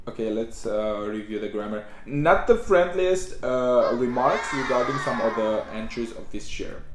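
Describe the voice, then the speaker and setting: A man talks with lively intonation and hardly any pauses. Noticeable background noise and audible room echo surround him. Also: medium pitch for a man. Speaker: YouTuber reacting to music. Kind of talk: casual vlog intro. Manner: halting, with many fillers; trying to speak slowly.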